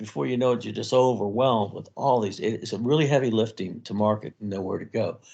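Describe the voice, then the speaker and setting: At a fairly quick pace, a man speaks with a medium pitch in a plain, everyday voice. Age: 60s. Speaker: author and army veteran. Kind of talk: interview.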